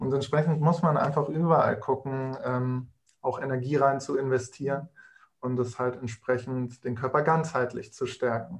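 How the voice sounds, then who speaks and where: His voice is somewhat breathy and medium in pitch. The man keeps his intonation fairly even. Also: moderate pace. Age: 20s. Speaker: nutrition consultant. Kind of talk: casual interview.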